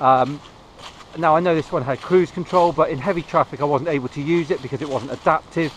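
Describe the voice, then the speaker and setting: Light background noise accompanies a man in a dry sound with no echo. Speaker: vlogger. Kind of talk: casual vlog chat. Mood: relaxed, reflective. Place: forest. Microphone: phone near.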